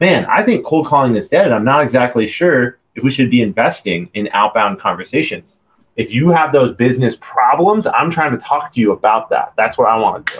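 Using a normal speaking voice, a man talks at a fairly quick pace with hardly any pauses, his pitch fairly high and his intonation lively. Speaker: podcast host and cold calling consultant. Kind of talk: podcast interview with live cold calls. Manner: upbeat, playful.

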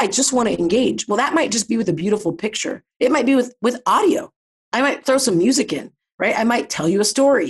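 A woman speaks in a high pitch with an American accent and lively intonation. Her pace is fairly quick and her loudness very even. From US Midwest, Ohio (Columbus suburb). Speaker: behavioral scientist and company founder. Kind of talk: interview conversation.

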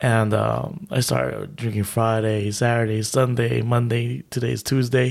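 A man talks in an ordinary speaking voice at a medium pitch and a fairly slow pace, with hardly any pauses. His intonation is fairly even and his loudness very even. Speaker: podcast co-host. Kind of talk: casual chat.

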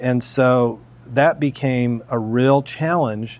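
A man speaks with an American accent at a medium pitch. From US Midwest, Springfield, Missouri. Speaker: chocolate maker, former defense attorney. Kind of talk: interview conversation. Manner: halting.

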